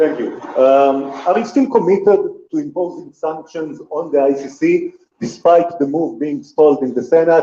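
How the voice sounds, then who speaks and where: With an Israeli accent, a man speaks at a moderate pace in a high pitch, his intonation lively. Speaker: reporter at press conference.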